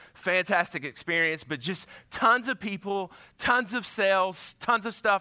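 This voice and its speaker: An animated man with a high pitch raises and projects a bright, sharp voice with ordinary pitch variation, dry and close with no echo on a very clean recording with a silent background. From Georgia. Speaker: pastor. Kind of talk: sermon. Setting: church.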